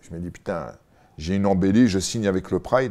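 A man's fairly low-pitched voice with a dark, mellow tone at a moderate pace. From France and England (Paris region, lived in England 6 to 14); France. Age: 40s. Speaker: former MMA fighter, co-host; co-host. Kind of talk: casual chat. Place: home room. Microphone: lapel.

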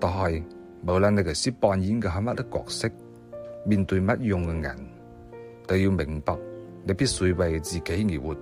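Over music in the background, a man with a Siyi accent speaks in a very deep, low pitch with lively intonation. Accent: Siyi Cantonese. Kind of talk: inspirational quote reading.

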